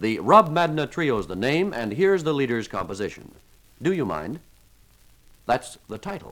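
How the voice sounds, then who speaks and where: A man with vocal fry speaks at a moderate pace, leaving long, frequent pauses as his pitch swings very widely. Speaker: radio announcer. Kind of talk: 1955 radio announcer: scripted, polished broadcast patter introducing jazz tracks. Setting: studio. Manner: formal, brisk and genial, mid-century broadcast delivery with light wit.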